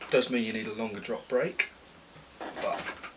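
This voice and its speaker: A fairly quick pace against loud background noise. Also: man. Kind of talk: casual vlog chat. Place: workshop. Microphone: phone near.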